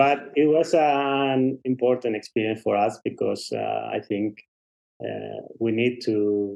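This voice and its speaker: A man talks at a very slow pace with a Spanish accent. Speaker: race director. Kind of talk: interview. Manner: halting.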